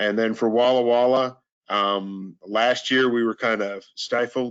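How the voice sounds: A man speaks at a fairly slow pace with a medium pitch and fairly even intonation. His tone is clear, smooth and fairly bright.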